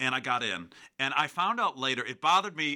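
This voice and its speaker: Here is a man with a Chicago accent and a bright, sharp tone. The recording is very clean, with a silent background. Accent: Chicago-area American. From US Midwest, Chicago south suburbs. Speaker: university choral director. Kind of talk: casual interview. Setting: radio studio.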